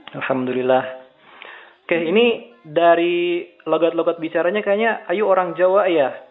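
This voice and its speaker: A man's high voice at a moderate pace, with ordinary pitch variation, very even loudness and noticeable background noise. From Indonesia, West Java (Bandung). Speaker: Islamic preacher and interviewer. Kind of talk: remote interview. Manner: casual.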